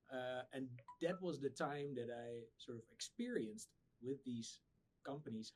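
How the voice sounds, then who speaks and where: A man in a Dutch accent talks at a moderate pace, with ordinary pitch variation and big swings in loudness. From Netherlands. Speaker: startup founder. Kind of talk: podcast interview. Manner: halting, many repeated words.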